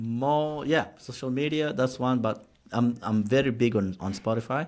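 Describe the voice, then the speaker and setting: At a moderate pace, a man with a Kenyan accent speaks at a medium pitch with ordinary pitch variation. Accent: Kenyan English, heavier than American. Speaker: podcast host. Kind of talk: casual chat.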